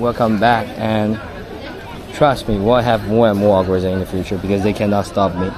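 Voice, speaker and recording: Crowd noise and audible room echo surround a man speaking at a fairly quick pace with a Chinese accent. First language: Taizhou dialect (Wu Chinese). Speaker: live streamer. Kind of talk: casual live-stream chat.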